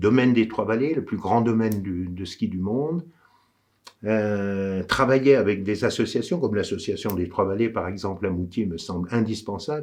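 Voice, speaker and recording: With lively intonation and a fairly low pitch, a man talks at a moderate pace. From France, Savoie (Courchevel area). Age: 60s. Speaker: local election candidate. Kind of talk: campaign address. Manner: hesitant, with frequent fillers.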